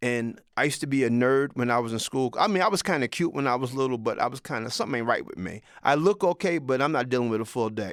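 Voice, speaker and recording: Very fast, animated speech with lively intonation comes on a very clean recording with a silent background. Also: man. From Mount Vernon, New York. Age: 60s. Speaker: vlogger. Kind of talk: casual monologue.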